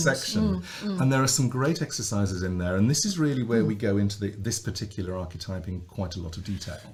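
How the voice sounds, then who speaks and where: A man with a fairly low voice rushes along very fast, his intonation lively, as noticeable noise sounds in the background. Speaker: voice coach. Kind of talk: podcast conversation.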